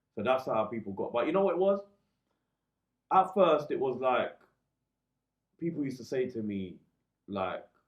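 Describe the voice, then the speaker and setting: At a moderate pace and a medium pitch, a man in a London accent swings his pitch very widely and leaves long, frequent pauses. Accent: London multicultural English. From East London. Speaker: DJ and radio presenter. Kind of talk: casual interview chat.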